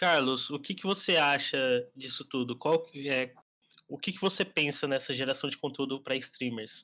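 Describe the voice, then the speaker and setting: A man's fairly high, bright, sharp voice with ordinary pitch variation at a moderate pace, on a very clean recording with a silent background. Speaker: podcast host and marketing agency founder. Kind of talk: casual chat.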